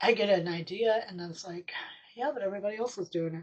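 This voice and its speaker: Speaking at a moderate pace in an American accent, a woman uses a medium pitch with ordinary pitch variation. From US Midwest, Sioux Falls, South Dakota. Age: 60s. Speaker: miniaturist YouTuber. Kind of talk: casual vlog talk. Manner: hesitant, many fillers.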